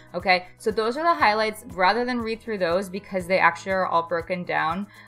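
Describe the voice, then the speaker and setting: An upbeat, excited tone with ordinary pitch variation over music in the background. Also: woman. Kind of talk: casual gaming commentary to camera.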